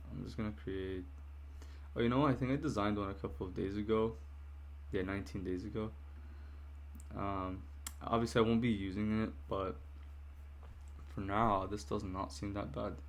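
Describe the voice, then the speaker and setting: A man with a fairly low pitch and lively intonation speaks at a moderate pace, leaving long, frequent pauses. Audible room echo surrounds his voice. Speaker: software developer vlogger. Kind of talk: casual vlog narration. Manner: hesitant, many fillers.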